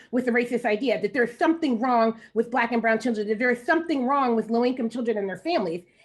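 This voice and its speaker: A woman's high voice carries lively intonation. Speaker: education researcher. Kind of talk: panel discussion. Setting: panel with interpreters. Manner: fast.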